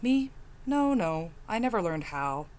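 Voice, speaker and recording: A put-on character voice that sounds female sits at medium pitch with very wide pitch swings. The pace is moderate, with clear background noise. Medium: read story. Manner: terse, guarded.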